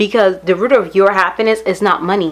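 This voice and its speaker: The intonation stays fairly even. A woman talks in a medium pitch. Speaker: beauty vlogger. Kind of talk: casual vlog talk to camera. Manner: fast.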